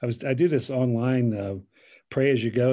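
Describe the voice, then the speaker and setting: A man with an American accent speaks at a moderate pace and medium pitch, with ordinary pitch variation. He has a plain, everyday voice, and the background is quiet. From US, Central Pennsylvania. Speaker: pastor. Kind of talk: casual chat.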